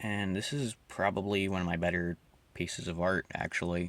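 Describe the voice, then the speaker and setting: A man speaks with a very deep, low pitch, vocal fry and lively intonation. The recording is very clean, with a silent background. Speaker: amateur artist vlogger. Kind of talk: casual commentary over drawing. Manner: downtrodden, low-energy.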